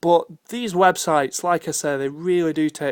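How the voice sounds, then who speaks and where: A man with a British accent, fairly high-pitched, at a moderate pace with fairly even intonation, on a very clean recording with a silent background. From United Kingdom. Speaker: tech video blogger. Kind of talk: screen demo tutorial. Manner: casual with frequent fillers.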